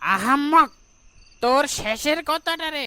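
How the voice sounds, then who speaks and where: The voice is a cartoonish character voice. Its pitch is high. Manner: mocking, menacing.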